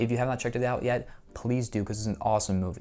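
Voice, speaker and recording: Over music in the background, a man with an American accent and a medium-pitched voice speaks very fast. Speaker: YouTuber, movie collector. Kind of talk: casual monologue, collection showcase. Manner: halting, many fillers.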